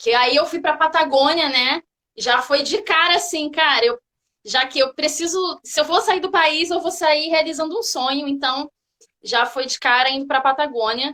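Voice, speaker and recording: A woman uses a raised, projected voice with a high pitch and a bright, sharp tone. She speaks at a fairly slow pace with ordinary pitch variation. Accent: Rio de Janeiro. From Brazil, Rio de Janeiro. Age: 30s. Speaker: physical education teacher, hiker. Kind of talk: casual interview chat.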